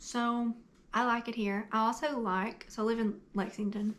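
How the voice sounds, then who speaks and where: A woman speaks in an eastern Kentucky accent. Her intonation is monotone and flat. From eastern Kentucky, Appalachian mountains. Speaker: book YouTuber. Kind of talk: casual Q&A vlog.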